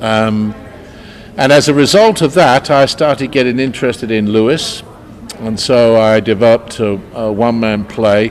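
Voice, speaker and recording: A man talks at a moderate pace while noticeable background noise is heard. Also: medium pitch for a man, ordinary pitch variation. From London, England. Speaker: actor. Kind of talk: interview. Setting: convention interview. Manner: hesitant, many filler sounds.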